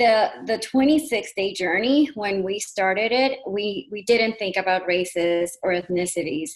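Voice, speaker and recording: Lively intonation marks this woman's speech in a Spanish accent. She talks at a fairly slow pace with a medium pitch. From Puerto Rico. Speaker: panelist, program co-creator. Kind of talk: panel discussion. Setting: video call. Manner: halting.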